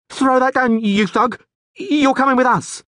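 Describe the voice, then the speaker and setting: A put-on character voice, shaky and fairly high in pitch. It shouts at a moderate pace. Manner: yelling.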